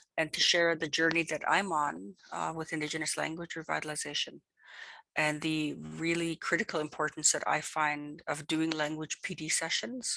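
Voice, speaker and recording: A woman speaks at a moderate pace with a very deep, low pitch. Her intonation stays fairly even over a quiet background. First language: Cree. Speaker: Cree language educator. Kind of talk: online presentation. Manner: hesitant, many fillers.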